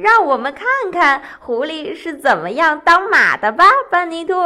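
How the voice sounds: Doing a put-on character voice, a woman sounds bright and sharp at a high pitch. Her pitch swings widely, and her pace is moderate.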